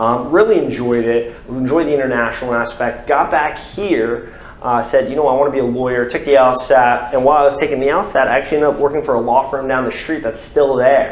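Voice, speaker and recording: Noticeable background noise and audible room echo surround a man's voice. At medium pitch, he talks very fast with fairly even intonation and hardly any pauses. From US South, Florida (Brevard County). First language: French. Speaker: lawyer. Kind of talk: interview. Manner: many fillers (um, uh).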